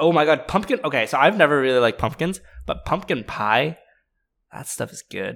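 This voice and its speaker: A man speaks at a fairly high pitch with very wide pitch swings. The recording is very clean, with a silent background. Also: fairly quick pace. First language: not English. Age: 20s. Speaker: podcast co-host. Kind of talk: casual chat.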